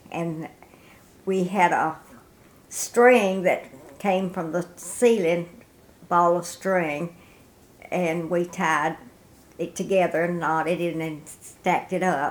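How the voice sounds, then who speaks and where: A woman with a Tennessee accent, her fairly low voice moving at a very slow pace with long, frequent pauses. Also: fairly even intonation. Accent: US Southern (Tennessee). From Middle Tennessee. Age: 90s. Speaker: war veteran's wife. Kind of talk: oral history interview.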